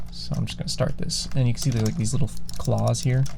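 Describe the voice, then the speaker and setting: The speaker is soft-spoken, with a relaxed tone and a moderate pace. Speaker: ASMR creator and gamer. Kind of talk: casual talk to camera while gaming. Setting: studio, close binaural microphone. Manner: soft-spoken, relaxed.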